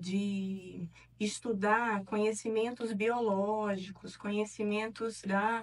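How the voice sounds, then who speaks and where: Music plays behind a woman speaking very slowly at a fairly high pitch in a northeastern Brazilian accent. Her intonation stays fairly even. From Piauí, Northeast Brazil. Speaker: neuropsychologist and professor. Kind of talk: interview. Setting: studio.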